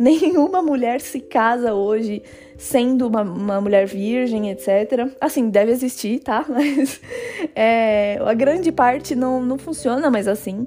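Music plays behind a woman with a high pitch and ordinary pitch variation. She speaks at a very slow pace. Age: 20s. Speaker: podcast host. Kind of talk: solo podcast monologue. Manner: casual, conversational.

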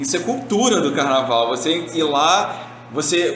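A high-pitched male voice with audible room echo and noticeable background noise. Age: 30s. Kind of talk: casual chat.

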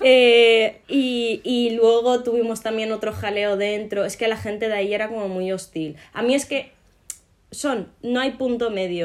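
A woman speaks in an unremarkable speaking voice, fairly high-pitched with ordinary pitch variation, at a fairly slow pace. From Morocco. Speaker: podcast co-host. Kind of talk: casual chat.

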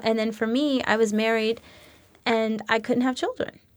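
Moderate in pace, a woman with an American accent has a plain, everyday voice, fairly high in pitch, with fairly even intonation. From New York City (Queens) and San Francisco Bay Area. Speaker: life coach and former actress. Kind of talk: interview.

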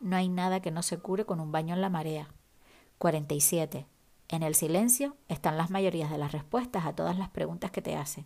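A woman speaks in an ordinary speaking voice at a fairly low pitch. Her pace is moderate and her pitch variation ordinary. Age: 40s. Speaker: podcast host and writer. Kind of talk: reading aloud a list; solo podcast monologue.

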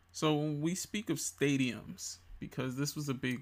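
In a very clean recording with a silent background, a man with an American accent talks at a fairly slow pace, his pitch varying in an ordinary way, in an ordinary speaking voice. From DMV area (Washington DC, Maryland, Virginia). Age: 20s. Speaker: sports podcast host. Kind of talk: casual sports commentary.

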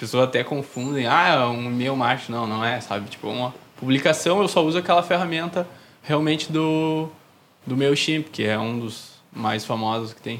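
A man's medium-pitched voice with a southern Brazilian accent, ordinary pitch variation, big swings in loudness and a moderate pace. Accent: gaúcho Brazilian Portuguese. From southern Brazil, Novo Hamburgo (Rio Grande do Sul). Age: 20s. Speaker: newsletter zine creator. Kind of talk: casual interview chat.

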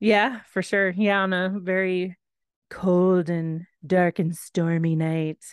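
In an American accent, a woman with a medium pitch speaks very slowly and with fairly even intonation, the sound dry and close with no echo against a quiet background. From Texas. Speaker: podcast co-host. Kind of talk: casual chat.

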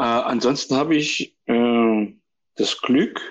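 A man's voice sits at a medium pitch and shows ordinary pitch variation, with a quiet background behind it. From Saxony, Germany (near Chemnitz). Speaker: composer and stage actor. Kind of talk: casual chat. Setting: phone call. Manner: halting.

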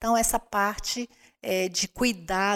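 At a fairly slow pace, a woman talks in an unremarkable speaking voice, showing ordinary pitch variation. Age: 50s. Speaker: church women's ministry leader. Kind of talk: casual chat.

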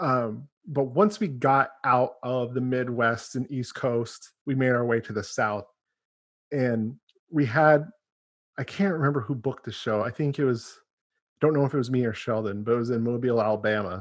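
A man's ordinary speaking voice at medium pitch and moderate pace, with ordinary pitch variation and a quiet background. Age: 30s. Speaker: podcast host and band member. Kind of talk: casual interview chat. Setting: video call.

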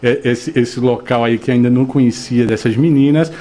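A man talks with a medium-pitched voice while noticeable background noise goes on around him. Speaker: radio host. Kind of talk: radio interview. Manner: animated.

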